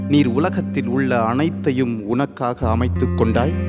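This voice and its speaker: A man's pitch swings very widely while music plays behind him. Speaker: spoken word poet. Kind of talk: spoken word poetry performance.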